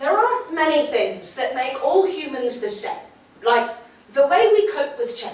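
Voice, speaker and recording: A woman's voice with very wide pitch swings amid noticeable background noise. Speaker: slam poet. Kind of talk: spoken word poetry performance.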